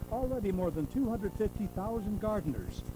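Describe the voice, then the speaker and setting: Music plays behind a man with a high pitch and an upbeat tone. His intonation is lively. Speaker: narrator. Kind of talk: infomercial sales narration. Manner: upbeat, persuasive.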